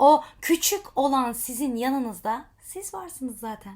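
Her voice is high-pitched, with lively intonation. The woman talks at a fairly slow pace. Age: 30s. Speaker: life coach and social media vlogger. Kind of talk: motivational monologue to camera.

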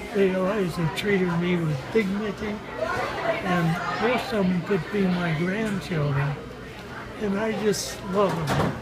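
Loud background noise sits behind a man's voice. He speaks with long, frequent pauses. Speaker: restaurant worker, former dairy farmer. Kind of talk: interview answer. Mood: warm, fond. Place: cafe.

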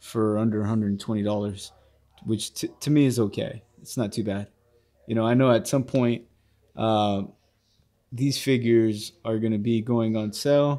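Over a quiet background, a man speaks at a moderate pace with a dark, mellow tone. He leaves long, frequent pauses. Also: fairly even intonation. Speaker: toy reviewer. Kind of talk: casual review chat. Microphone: phone near.

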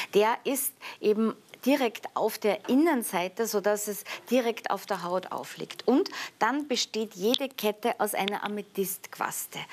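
Over light background noise, a woman with a fairly high pitch speaks at a fairly slow pace. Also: ordinary pitch variation. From Austria, Vienna. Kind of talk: sales pitch. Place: studio. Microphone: lapel.

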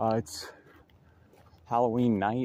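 Light background noise sits behind a man with a fairly low pitch. The sound is dry, with no echo. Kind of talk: casual vlog chat. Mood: nervous, spooked. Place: rain. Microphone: phone near.

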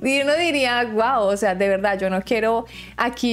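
A woman with a fairly high pitch talks at a fairly slow pace. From Colombia. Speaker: YouTuber. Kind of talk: vlog commentary. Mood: earnest, opinionated. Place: home room.

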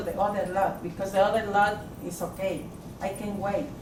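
A woman of medium pitch is heard with audible room echo and noticeable background noise. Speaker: resident speaking at a city council meeting. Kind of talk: public comment. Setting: city council meeting at city hall. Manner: halting.

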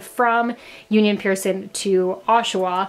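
The woman speaks with intonation that remains fairly even. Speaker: travel vlogger. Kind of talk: casual vlog chat. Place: home room. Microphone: phone near.

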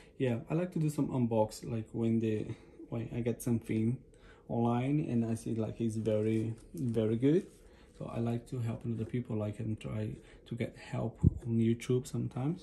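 Over light background noise, a man with a non-native accent speaks in a dark, mellow tone that is somewhat breathy. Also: ordinary pitch variation, moderate pace. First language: not English. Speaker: unboxing vlogger. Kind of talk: casual unboxing talk to camera. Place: home room. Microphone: phone near.

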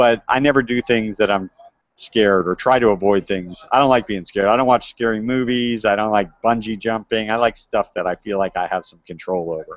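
Fairly quick and fairly even in intonation, a man speaks at a fairly low pitch. The sound is dry with no echo over a quiet background. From US, Miami Beach, Florida; Florida. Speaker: cave diver and environmental anthropologist. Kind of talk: educational talk to school classes. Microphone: earbuds.

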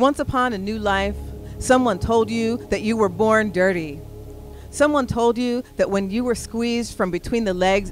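With music in the background, a woman speaks at a moderate pace and medium pitch with fairly even intonation. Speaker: spoken word poet. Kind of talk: spoken word poetry performance. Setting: live stage.

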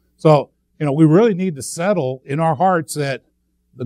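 A man talks at a moderate pace with ordinary pitch variation. The background is quiet, and the sound is dry with no echo. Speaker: speaker. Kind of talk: sermon. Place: church.

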